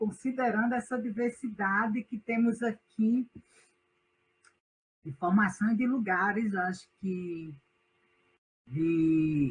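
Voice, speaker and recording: A woman with a northeastern Brazilian accent speaks at a very slow pace, with long, frequent pauses. Her voice is medium in pitch and somewhat breathy, with lively intonation. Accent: Northeastern Brazilian, unchanged. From Northeast Brazil. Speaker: university professor. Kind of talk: online class lecture.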